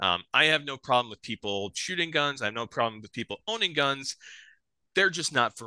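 A man speaks in a bright, sharp tone. His pace is fairly quick and his intonation lively. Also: medium pitch for a man, dry, close sound with no echo, quiet background. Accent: Upper Midwest. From South Dakota, near Sioux Falls. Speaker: bowhunter. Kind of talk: casual chat.

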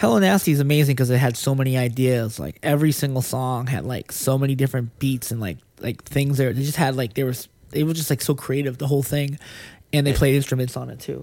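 A man's medium-pitched voice with an American accent, dark and mellow in tone, fairly even intonation and a very fast pace, on a very clean recording with a silent background. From Lynn, Massachusetts (Boston area). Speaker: screenwriter. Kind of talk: casual chat.

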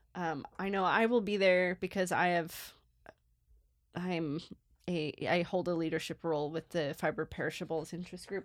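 On a very clean recording with a silent background, a woman with a normal speaking voice talks at a moderate pace, with fairly low pitch and fairly even intonation. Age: 30s. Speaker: archaeology podcast co-host. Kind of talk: casual chat.

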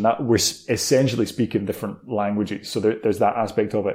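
In an Edinburgh accent, a man speaks with a dark, mellow tone. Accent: Scottish (Edinburgh). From Scotland, Edinburgh. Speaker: entrepreneur, letting agency co-founder. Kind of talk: interview. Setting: at home, remote call.

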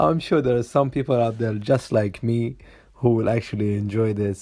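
This man's voice sits fairly low, with a dark, mellow tone. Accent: non-native. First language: not English. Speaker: podcast host. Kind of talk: casual monologue.

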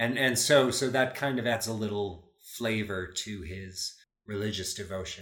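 Here a man talks at a moderate pace with an American accent and a fairly low pitch. The room echo is audible. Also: ordinary pitch variation. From US Midwest, Chicago. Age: 50s. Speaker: actor and audiobook narrator. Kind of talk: casual interview.

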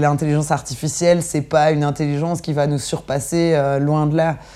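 A woman speaks with a very deep, low pitch at a fairly slow pace. Her intonation is monotone and flat. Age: 30s. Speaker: arts festival programmer. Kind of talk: interview.

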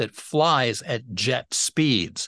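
A dry, close sound with no echo against a quiet background. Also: man. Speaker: podcast co-host. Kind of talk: interview podcast.

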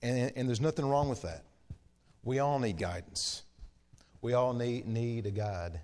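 The speech has lively intonation and long, frequent pauses. Room echo is audible. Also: man, medium pitch for a man, moderate pace. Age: 40s. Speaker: preacher. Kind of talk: sermon. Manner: halting.

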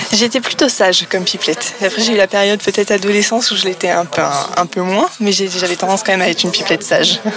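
Over noticeable background noise, a woman talks at a very fast pace in a medium pitch, with ordinary pitch variation and very even loudness. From Paris region, France. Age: young. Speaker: entrepreneur. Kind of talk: interview. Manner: halting.

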